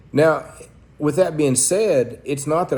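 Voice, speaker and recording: In an Oklahoma accent, a man speaks at a fairly slow pace with a fairly high pitch and a dark, mellow tone. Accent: Oklahoma Southern US. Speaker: pastor. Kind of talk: sermon-style talk to camera. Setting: church. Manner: blunt.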